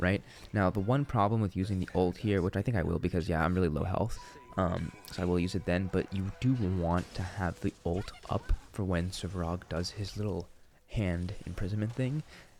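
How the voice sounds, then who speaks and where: With music in the background, a man talks in a very deep, low pitch with ordinary pitch variation. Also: moderate pace. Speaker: gaming content creator. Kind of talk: gameplay commentary. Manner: casual, conversational.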